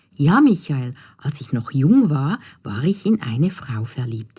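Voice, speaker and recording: With a dark, mellow tone, a woman speaks at a very slow pace. Her voice is somewhat breathy, and her pitch swings very widely. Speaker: storyteller. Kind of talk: children's fairy tale narration.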